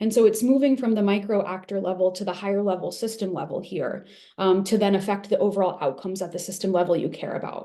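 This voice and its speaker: A woman's medium-pitched voice at a very fast pace with hardly any pauses, ordinary pitch variation and audible room echo. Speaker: evaluation expert presenter. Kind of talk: webinar lecture.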